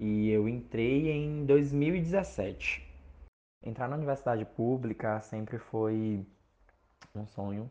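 Long, frequent pauses break up this man's very slow delivery. His tone is dark and mellow, with a medium pitch and ordinary pitch variation. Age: 20s. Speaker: university student. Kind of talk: podcast interview.

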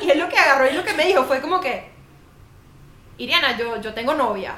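With a Caracas accent, a woman speaks fairly quickly in a high pitch with ordinary pitch variation. Noticeable background noise and audible room echo are present. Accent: Venezuelan Spanish (Caracas). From Venezuela, Caracas. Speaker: podcast co-host. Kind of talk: casual chat. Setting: home studio.

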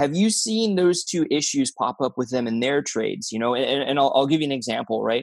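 In a very clean recording with a silent background, a man with an American accent and an unremarkable speaking voice talks at a fairly quick pace and fairly high pitch. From Florida. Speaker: podcast host. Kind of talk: casual chat.

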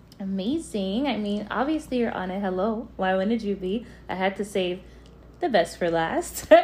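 At a moderate pace, the voice sounds animated and upbeat, somewhat breathy, with lively intonation. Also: woman, medium pitch for a woman. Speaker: podcast host. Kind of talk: casual podcast chat. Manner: animated, upbeat.

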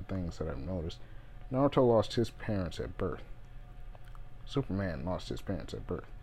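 With vocal fry and lively intonation, a man speaks at a moderate pace. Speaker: video creator. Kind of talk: solo rant, rambling monologue. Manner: rambling, halting, goes off topic; earnest, frustrated.

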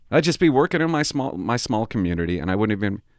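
Animated and very fast, a man with a western Canadian accent and a fairly low pitch makes very wide pitch swings. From Port Alberni, British Columbia, Canada. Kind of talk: casual comedic rant with live call-in. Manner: animated, joking, profane.

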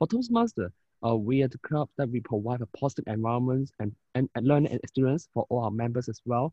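This man talks at a very fast pace, his voice somewhat breathy and medium in pitch. His intonation stays fairly even. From Hong Kong. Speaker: IT manager and youth leader. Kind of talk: interview. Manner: halting.

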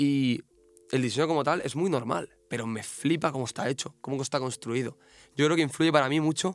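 A man with an ordinary speaking voice, fairly high in pitch with ordinary variation, at a fairly quick pace. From Catalonia, Spain. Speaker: tattoo artist. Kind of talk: casual chat.

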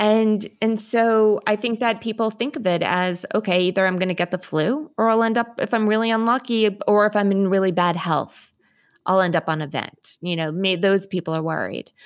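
Speaking at a moderate pace, a woman has an unremarkable speaking voice at a medium pitch with ordinary pitch variation. The recording is very clean, with a silent background. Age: 40s. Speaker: COVID survivor and patient advocate. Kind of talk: interview conversation.

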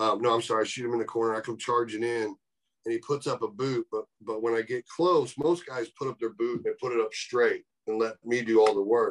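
Dry and close with no echo, a man's ordinary speaking voice holds a medium pitch, a fairly quick pace, and fairly even intonation. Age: 40s. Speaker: professional wrestler. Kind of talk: casual chat.

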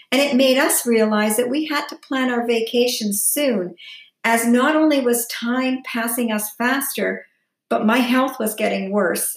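At a fairly slow pace, a woman speaks in a high pitch. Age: 60s. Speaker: lifestyle vlogger. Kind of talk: personal vlog monologue.

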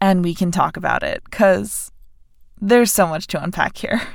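A woman speaks at a medium pitch with ordinary pitch variation. Her pace is moderate. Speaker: podcast host. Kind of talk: casual chat.

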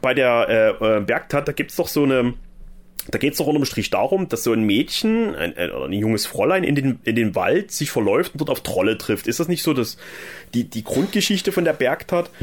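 With vocal fry and very wide pitch swings, the voice moves at a moderate pace. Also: man, fairly high pitch for a man. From eastern Germany, Saxony. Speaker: podcast host. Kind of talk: casual chat.

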